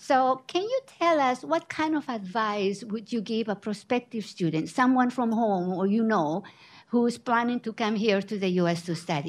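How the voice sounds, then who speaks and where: This woman speaks with a fairly high pitch. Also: quiet background. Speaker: panel moderator. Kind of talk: panel moderation. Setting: library event with audience.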